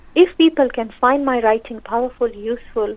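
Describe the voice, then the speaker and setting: A woman with a fairly high voice speaks at a moderate pace, her intonation fairly even. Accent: Pakistani. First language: Urdu. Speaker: social worker and counsellor, author. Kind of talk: radio interview.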